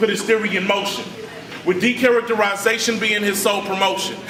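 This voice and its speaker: A man with a high pitch speaks in a raised, projected voice with an animated tone at a fairly quick pace. Audible room echo and noticeable background noise surround him. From Richmond, California. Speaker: spoken word poet. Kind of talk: spoken word poetry performance.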